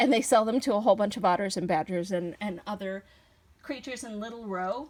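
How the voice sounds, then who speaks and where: At a fairly quick pace, a woman of medium pitch talks in an ordinary speaking voice, with ordinary pitch variation and big swings in loudness. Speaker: toy reviewer. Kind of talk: toy review video.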